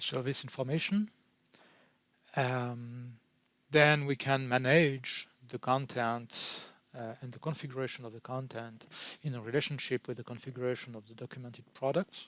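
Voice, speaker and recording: A man with a French accent speaks at a moderate pace, with fairly even intonation, big swings in loudness and long, frequent pauses. The recording is very clean, with a silent background. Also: medium pitch for a man. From France. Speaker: pre-sales technical consultant. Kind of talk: product presentation. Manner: halting, with frequent fillers.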